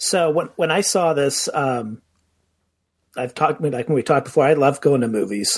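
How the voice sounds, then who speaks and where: An unremarkable speaking voice from a man, fairly high in pitch with ordinary pitch variation. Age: 50s. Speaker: podcast co-host. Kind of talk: casual chat.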